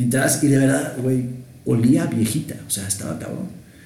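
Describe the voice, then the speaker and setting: A man speaks with a Mexican accent, and audible room echo surrounds his voice. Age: 30s. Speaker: podcast co-host. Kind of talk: casual chat.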